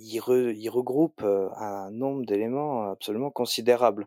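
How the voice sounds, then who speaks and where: A man's dark, mellow voice with ordinary pitch variation, dry and close with no echo, on a very clean recording with a silent background. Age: 20s. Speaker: computer science student. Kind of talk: interview. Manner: hesitant, many fillers.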